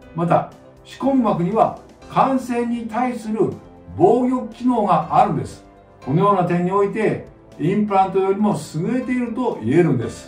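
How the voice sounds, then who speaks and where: A man speaks at a moderate pace in a high voice. Faint music plays in the background, and room echo is audible. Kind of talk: explanatory talk to camera. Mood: calm, explanatory. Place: office.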